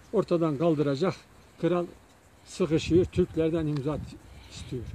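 Ordinary pitch variation and a fairly slow pace from a man with a high-pitched voice. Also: dry sound with no echo. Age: old. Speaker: folk minstrel; local poet, storyteller. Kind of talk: casual chat. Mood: calm, thoughtful. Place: open country. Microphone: phone near.

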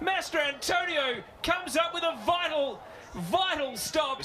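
Raising and projecting his voice, a man speaks with an Australian accent. There is noticeable background noise. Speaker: football play-by-play commentator. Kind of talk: live play-by-play football match commentary. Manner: rapid-fire breathless narration, rising with excitement at chances; punchy clipped calls of player names and passes.

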